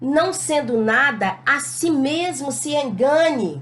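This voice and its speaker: A woman speaks loudly at a high pitch with ordinary pitch variation. Room echo is audible around her voice. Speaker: Bible teacher. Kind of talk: Bible lesson. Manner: not gentle, can sound hard. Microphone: records without a microphone.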